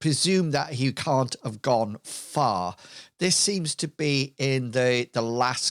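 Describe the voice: The speaker is plainly reading aloud.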